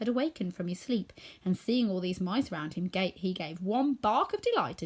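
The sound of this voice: The reading voice is unforced. It comes across as unforced throughout.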